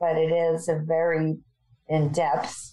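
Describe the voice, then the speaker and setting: Against a quiet background, a woman with an American accent talks at a fairly slow pace in a fairly low, dark, mellow voice with flat, monotone intonation. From New York. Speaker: improviser and improv teacher. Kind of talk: casual interview chat.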